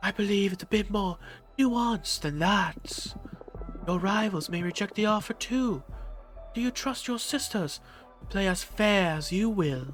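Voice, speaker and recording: Over clear background music, a man in a put-on character voice speaks at a high pitch, leaving long, frequent pauses. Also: moderate pace. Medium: game stream. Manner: calm, cold, measured.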